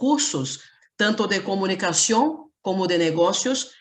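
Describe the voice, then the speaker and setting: A woman speaks in a Portuguese accent. Her pace is very slow. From Brazil. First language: Portuguese (speaking Spanish). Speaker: university lecturer, panelist. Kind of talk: conference presentation. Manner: read from script.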